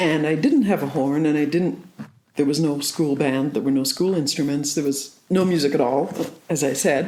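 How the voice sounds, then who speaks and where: Ordinary pitch variation with audible room echo. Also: woman. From southwest Ireland. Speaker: saxophonist. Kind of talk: interview.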